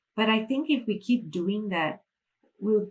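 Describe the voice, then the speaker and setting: In a Malaysian accent, a woman speaks at a moderate pace and medium pitch, somewhat breathy, with ordinary pitch variation. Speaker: financial freedom mentor. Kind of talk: interview.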